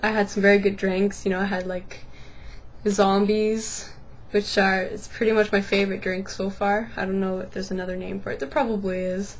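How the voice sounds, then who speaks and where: A woman's somewhat breathy, medium-pitched voice, monotone and flat, at a fairly quick pace. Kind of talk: casual vlog talk to camera.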